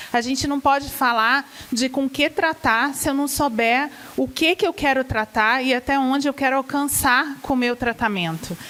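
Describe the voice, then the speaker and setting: Noticeable background noise sits behind a woman with a Rio de Janeiro accent. Her pitch is high, with ordinary pitch variation. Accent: carioca (Rio de Janeiro). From Rio de Janeiro, Brazil. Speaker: gastroenterology professor and physician. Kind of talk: medical lecture to patients.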